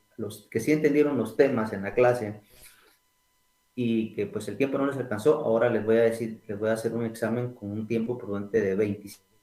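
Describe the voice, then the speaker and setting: Speaking at a moderate pace, a man holds a medium pitch with ordinary pitch variation. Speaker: accounting lecturer. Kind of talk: online lecture. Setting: online class from home. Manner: soft-spoken. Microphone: too quiet.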